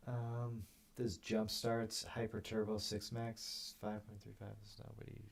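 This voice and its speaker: Soft-spoken and somewhat breathy, a man talks at a fairly slow pace in a medium pitch with monotone, flat intonation and big swings in loudness. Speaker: poker streamer. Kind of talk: live gameplay commentary. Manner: quiet, soft-spoken.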